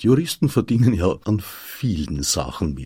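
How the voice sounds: A man talks with lively intonation, a slightly mellow tone and a slightly husky edge.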